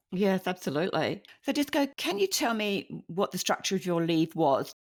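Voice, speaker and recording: Heard in a very clean recording against a silent background, a woman with a British accent talks at a moderate pace and medium pitch. Her pitch swings very widely while her loudness stays very even. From UK. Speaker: podcast host. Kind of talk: interview.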